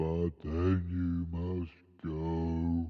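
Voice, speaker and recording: A man puts on a character voice. It is very deep and low, with monotone, flat intonation. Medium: read story. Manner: blustering, theatrical.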